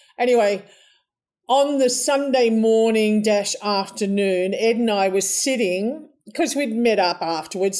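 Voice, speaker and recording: A woman's dark, mellow tone in an Australian accent, with ordinary pitch variation. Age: 70s. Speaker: interview guest. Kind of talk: casual interview storytelling.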